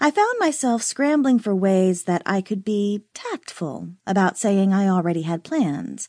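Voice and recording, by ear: Intonation stays lively throughout. Someone is reading aloud in a natural voice.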